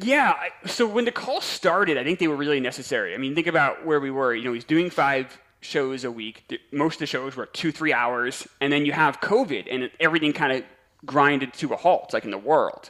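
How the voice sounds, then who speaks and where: A man with an American accent uses a normal speaking voice at a fairly high pitch, talking at a fairly quick pace with lively intonation. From New York. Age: 40s. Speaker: podcast host and fan guest. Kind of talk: casual chat.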